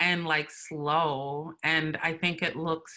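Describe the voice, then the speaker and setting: A woman with a very deep, low pitch and a bright, sharp tone speaks against a quiet background. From Minnesota, US. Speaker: writer and performance artist; interview guest. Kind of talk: casual interview chat. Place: home room. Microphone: video call.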